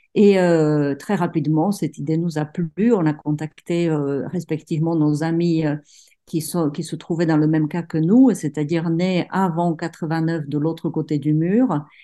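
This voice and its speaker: A woman with a fairly low pitch and a dark, mellow tone speaks at a fairly slow pace with fairly even intonation over a quiet background. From Czech Republic, provincial town. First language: Czech (speaking French). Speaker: writer. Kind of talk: interview. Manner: halting, many repetitions.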